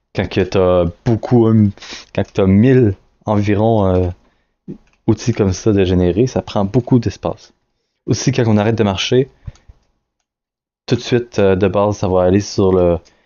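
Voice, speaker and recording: At a fairly slow pace with long, frequent pauses, a man speaks at a fairly low pitch with fairly even intonation and very even loudness. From Quebec. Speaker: indie game developer. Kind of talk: devlog screen-recorded tutorial. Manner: hesitant, many fillers and restarts; casual.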